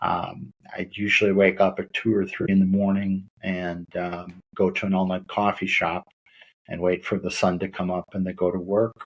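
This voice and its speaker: A man with an American accent speaks at a moderate pace. His very deep, low pitch carries monotone, flat intonation. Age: 60s. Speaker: lawyer and mental health advocate. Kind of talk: interview testimony. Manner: hesitant with many fillers.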